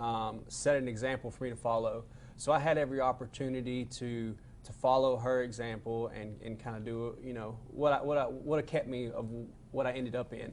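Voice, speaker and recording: Southern US accent, monotone, flat intonation, a moderate pace and big swings in loudness. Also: man. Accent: Southern twang. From Arkansas (Benton). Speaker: peer support specialist, person in recovery. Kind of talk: interview about addiction recovery. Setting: studio.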